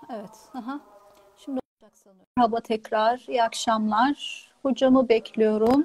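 A woman speaks in an unremarkable speaking voice at a fairly slow pace, her pitch fairly high. Her intonation stays fairly even, and the sound is dry with no echo. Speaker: pharmacist, channel host. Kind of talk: live stream interview. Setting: video call. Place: home room. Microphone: earbuds.

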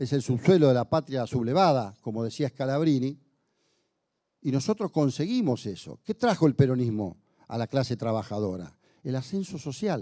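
A man speaks with a dark, mellow tone. His intonation is lively. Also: moderate pace, quiet background. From Argentina. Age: 60s. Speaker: union leader and legislator; speaker. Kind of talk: speech to an audience. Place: hall. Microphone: handheld.

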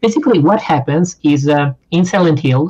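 A man's somewhat breathy voice is heard over a quiet background. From Italy. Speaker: gaming podcast co-host. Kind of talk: casual chat. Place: home room. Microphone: video call.

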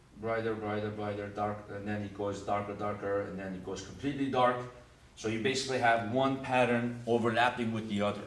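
With audible room echo, a man with a fairly low pitch speaks at a fairly quick pace in a monotone, flat intonation. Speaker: teacher. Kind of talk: lecture. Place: classroom.

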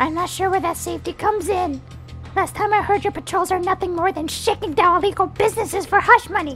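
A put-on character voice rattles along at a very fast pace with clear music in the background. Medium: dub. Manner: aggressive, shouting.

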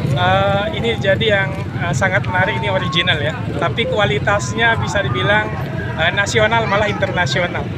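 The man's voice is a dry sound with no echo, coming at a moderate pace through loud background noise. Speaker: interviewee. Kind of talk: interview answer. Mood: friendly, smiling. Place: open country. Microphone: handheld.

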